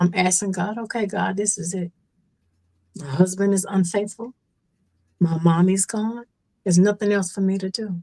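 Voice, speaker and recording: With long, frequent pauses and big swings in loudness, a woman speaks at a moderate pace in a medium pitch, her dark, mellow tone somewhat breathy, her intonation fairly even, and the sound dry and close with no echo. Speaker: stroke survivor. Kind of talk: testimony.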